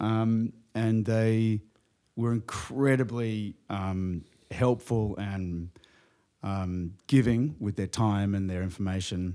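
In a very clean recording with a silent background, a man speaks very slowly in a fairly low, dark, mellow voice with fairly even intonation. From New Zealand, Australia and England. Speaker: surfboard company co-founder. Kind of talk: casual interview.

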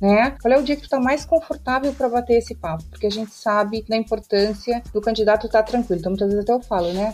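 Pitched fairly high, a woman talks at a very fast pace with hardly any pauses. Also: ordinary pitch variation. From Rio Grande do Sul, southern Brazil. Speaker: tech recruiter. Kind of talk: interview.

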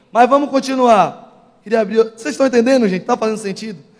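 Pitched high, a man speaks at a fairly quick pace. His pitch varies in an ordinary way. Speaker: preacher. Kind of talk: sermon. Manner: forceful, sounds angry.

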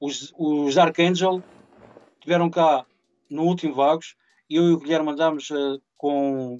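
Fairly even intonation in a man's fairly high voice. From Portugal, Mira (Aveiro district). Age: 40s. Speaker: event organizer. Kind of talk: casual interview.

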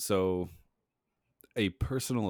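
Very clean recording with a silent background: a man with an American accent, lively intonation and a fairly slow pace. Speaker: podcast co-host. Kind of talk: casual chat. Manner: laughs often.

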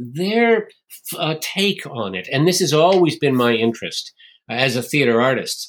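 Using a normal speaking voice, a man with an American accent talks at a moderate pace with lively intonation. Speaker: theatre maker and writer. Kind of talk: interview.

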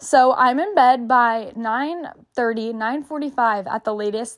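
Here is a woman with a Texan accent at a high pitch, with ordinary pitch variation. The recording is very clean, with a silent background. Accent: Texan Southern US. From small-town Texas. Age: 20s. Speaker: podcast co-host. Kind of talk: casual solo chat.

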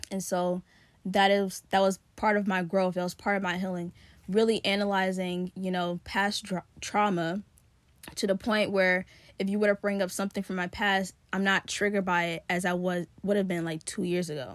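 Recorded very cleanly against a silent background, a woman of medium pitch speaks with monotone, flat intonation. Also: moderate pace. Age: 20s. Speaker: podcast host; college student about to graduate. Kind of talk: casual solo monologue. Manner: conversational with many fillers.

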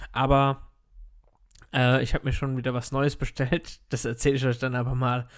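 Medium-pitched male speech, very cleanly recorded against a silent background. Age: 30s. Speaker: podcast host, network marketer. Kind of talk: solo motivational monologue. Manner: casual, filler-heavy.

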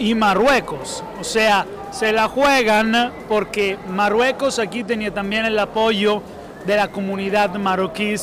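Noticeable background noise behind a high-pitched man with fairly even intonation. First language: Italian (speaking Spanish). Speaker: sports journalist. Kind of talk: casual discussion. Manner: halting.

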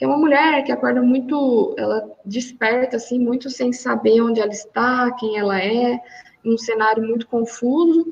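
A woman talks at a fairly slow pace in a fairly high pitch. Noticeable background noise can be heard. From Minas Gerais, Brazil. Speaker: master's researcher. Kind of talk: academic interview. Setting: remote call from home. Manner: halting, many fillers. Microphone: audio glitches on connection.

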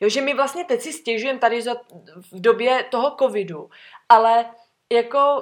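A woman speaks at a moderate pace with a fairly high pitch. She has an unremarkable speaking voice. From Czechia, Sokolov. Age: 20s. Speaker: former flight attendant. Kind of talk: casual chat.

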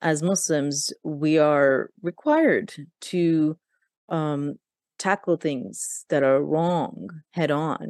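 Speaking at a very slow pace, a woman with a very deep, low pitch keeps a very even loudness and ordinary pitch variation, recorded with dry, close sound with no echo over a quiet background. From Pakistan. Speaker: podcast host. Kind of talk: interview chat. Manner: halting, with fillers.

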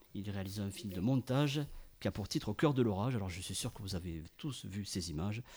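This man has a fairly low pitch. His intonation is lively. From France, Ariège. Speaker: radio panel columnist. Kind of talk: storytelling chronicle.

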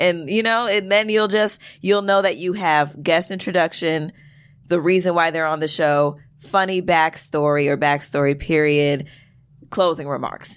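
A woman's unremarkable speaking voice, fairly low in pitch, with an American accent, ordinary pitch variation and a moderate pace, in a very clean recording with a silent background. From Brooklyn, New York. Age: 20s. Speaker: poet and filmmaker. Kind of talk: casual chat.

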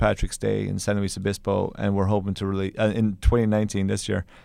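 This man has an Irish accent and a dark, mellow tone, and he speaks at a fairly quick pace. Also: quiet background. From Ireland, County Kerry. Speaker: film director. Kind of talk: interview.

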